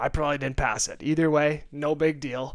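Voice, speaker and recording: This man talks loudly. His pace is moderate. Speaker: podcast co-host. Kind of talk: casual chat. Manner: animated.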